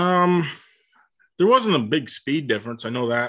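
The man's voice has a bright, sharp tone. He is the one speaking. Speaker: race car driver. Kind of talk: casual interview chat.

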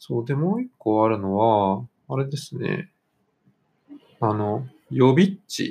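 Very slow and broken by long, frequent pauses, a man's dark, mellow voice at a medium pitch carries lively intonation. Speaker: football podcast host. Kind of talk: casual chat.

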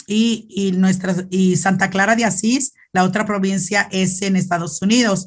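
Speaking at a fairly slow pace with hardly any pauses, a woman has a medium-pitched, somewhat breathy voice and fairly even intonation. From Mexico, Zacatecas. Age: 40s. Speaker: Franciscan nun. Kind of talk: interview testimony. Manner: halting, repeats words.

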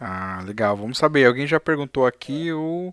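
A man's unremarkable speaking voice at fairly high pitch and a moderate pace, on a very clean recording with a silent background and a dry, close sound with no echo. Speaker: live stream interview host. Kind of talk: casual live stream interview.

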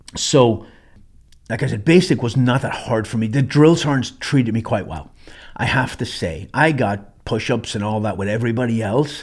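A man with an Irish accent, a medium pitch and a moderate pace. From Ireland. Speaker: military veteran and survival trainer. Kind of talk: casual monologue storytelling.

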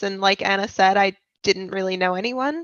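With a plain, everyday voice, a woman talks at a fairly quick pace. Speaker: university student. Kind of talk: podcast interview.

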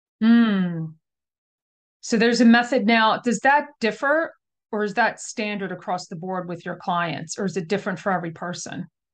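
This woman has an unremarkable speaking voice at a medium pitch, with lively intonation. She talks at a moderate pace over a quiet background. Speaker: podcast host. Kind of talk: interview conversation.

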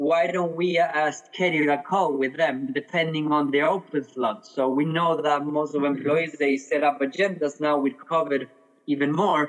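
A man with a Spanish accent talks at a moderate pace with hardly any pauses. His loudness stays very even and his intonation fairly even, over noticeable background noise. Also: fairly high pitch for a man. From Argentina. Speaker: head of customer experience. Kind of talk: interview. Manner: some hesitations and repeated words.

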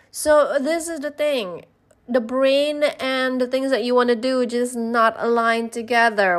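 A woman's high-pitched voice at a fairly slow pace, with ordinary pitch variation, on a very clean recording against a silent background. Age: 40s. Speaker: business coach and podcast host. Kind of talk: solo podcast monologue. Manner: animated.

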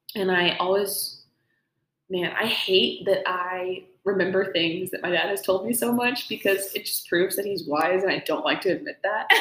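A woman's ordinary speaking voice, medium in pitch, with ordinary pitch variation and a moderate pace. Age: young. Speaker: podcast host, music student. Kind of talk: casual chat.

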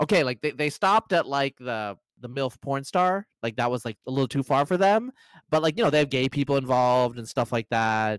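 A man with a plain, everyday voice talks at a medium pitch and a fairly quick pace with lively intonation, the sound dry and close with no echo. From US, Bangladeshi-American family. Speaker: writer on population genetics. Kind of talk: casual chat. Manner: fast, filler-heavy.

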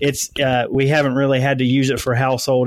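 A man speaks at a medium pitch with an American accent. It is an ordinary speaking voice. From US South. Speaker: lawn care business owner. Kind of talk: interview. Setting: remote call.

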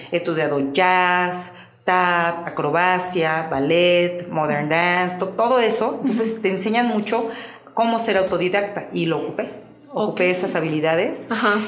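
Over noticeable background noise and audible room echo, a woman talks at a fairly slow pace with very even loudness and ordinary pitch variation. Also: medium pitch for a woman. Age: 50s. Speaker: pole fitness athlete and coach. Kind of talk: casual interview.

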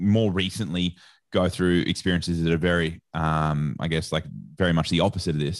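A man with an Australian accent speaks at a moderate pace in a very deep, low pitch. His intonation is fairly even, and the background is quiet. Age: 30s. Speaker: sports nutrition association head. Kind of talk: casual interview chat.

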